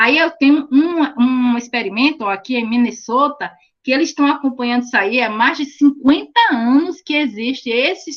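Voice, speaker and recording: At a moderate pace with hardly any pauses, a woman talks at a high pitch with ordinary pitch variation. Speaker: teacher. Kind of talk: online lecture.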